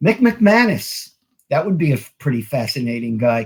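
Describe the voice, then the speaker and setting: A man is heard here. There is a somewhat breathy edge to his voice. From New York. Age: 60s. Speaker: wrestling author. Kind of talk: interview.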